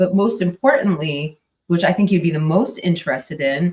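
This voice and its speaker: A woman with an American accent talks at a moderate pace, her fairly low, somewhat breathy voice carrying lively intonation. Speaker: true crime podcaster. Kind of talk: casual live stream chat. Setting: live stream. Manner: mumbling; hesitant, filler-heavy.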